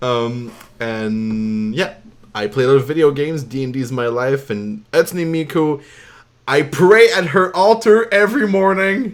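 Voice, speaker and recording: Speaking fairly slowly in a French Canadian accent, a man with a fairly high pitch makes very wide pitch swings. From Quebec. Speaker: artist and vocalist. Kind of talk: casual chat.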